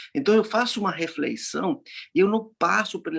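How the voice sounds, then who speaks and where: A man speaking at a fairly slow pace, with ordinary pitch variation. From Argentina, Córdoba. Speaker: laughter yoga facilitator. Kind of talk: casual chat. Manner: halting.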